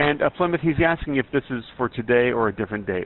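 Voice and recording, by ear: A man speaks fast with lively intonation. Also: medium pitch for a man.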